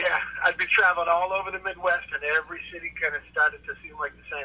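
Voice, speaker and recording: A man talks very fast, his loudness swinging widely, with noticeable background noise. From Boston area, Massachusetts. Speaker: stand-up comedian. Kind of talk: casual interview chat.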